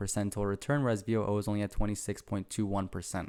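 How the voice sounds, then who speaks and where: At a very fast pace, a man talks in a fairly low pitch on a very clean recording with a silent background. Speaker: finance YouTuber. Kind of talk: investing commentary.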